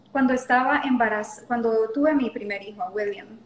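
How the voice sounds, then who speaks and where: This is a woman speaking. Her pitch is high. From Honduras (La Lima). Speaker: yoga teacher. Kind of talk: interview conversation.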